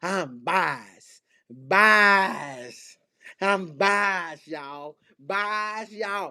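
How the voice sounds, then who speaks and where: In a put-on character voice with a Southern US accent, the speaker drawls at a very slow pace in a middle pitch. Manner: drawled.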